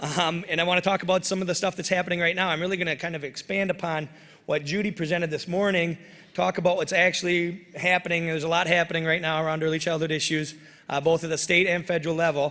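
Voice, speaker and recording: Talking at a very fast pace with an American accent, a man uses a high pitch, a bright, sharp tone and monotone, flat intonation. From northern Michigan, US. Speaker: policy advocate and former state legislator. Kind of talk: keynote speech. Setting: conference room with audience.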